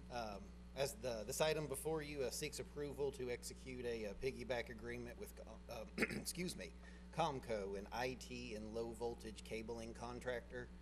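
Speech at a moderate pace over noticeable background noise. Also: man. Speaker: presenter. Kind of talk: formal presentation to commission. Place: hall. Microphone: podium.

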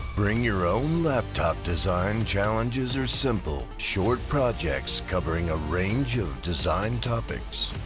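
The speaker talks at a very slow pace with very wide pitch swings. Music can be heard in the background. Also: man. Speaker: voice-over artist. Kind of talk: movie trailer. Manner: dramatic, epic.

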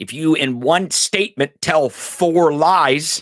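A man with a fairly high pitch, lively intonation and an American accent, against a quiet background. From US. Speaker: podcast host. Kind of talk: angry political rant, profane and sarcastic. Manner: emphatic with repetitions and stumbles. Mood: irritated, emphatic, swearing. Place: studio. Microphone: studio mic.

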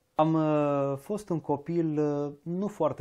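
The background is quiet as this man's dark, mellow tone comes through. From Transylvania, Romania (Arad, Cluj); Transylvania, Romania. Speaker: diction teacher. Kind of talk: interview conversation. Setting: shop. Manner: slow, mellow drawl. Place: home room. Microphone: lapel.

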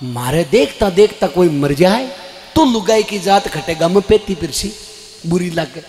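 A man speaks at a very slow pace with faint music in the background. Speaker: storyteller. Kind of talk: religious storytelling narration. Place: stage. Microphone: handheld.

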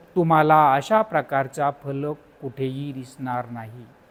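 On a very clean recording with a silent background, a man with a normal speaking voice talks at a fairly high pitch with ordinary pitch variation. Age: 50s. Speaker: teacher and YouTuber. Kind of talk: book summary talk.

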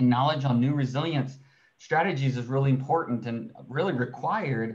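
A man's somewhat breathy voice at medium pitch, with ordinary pitch variation and a fairly quick pace. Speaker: research scientist. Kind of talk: webinar presentation. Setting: video call.

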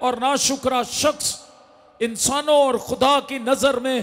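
At a very slow pace, a man speaks with an extremely high pitch. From Pakistan. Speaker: pastor. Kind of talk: sermon. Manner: animated, loud. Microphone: handheld.

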